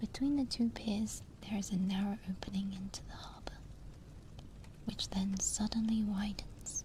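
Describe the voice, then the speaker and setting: With noticeable background noise behind her, a soft-spoken woman with a British accent talks at a fairly slow pace in a medium pitch. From Britain. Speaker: VTuber. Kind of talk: sleep story reading.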